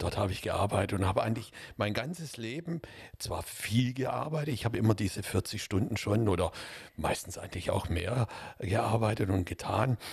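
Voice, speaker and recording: Somewhat breathy delivery with lively intonation. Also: man, fairly low pitch for a man, moderate pace. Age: 60s. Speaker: podcast co-host. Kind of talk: casual discussion.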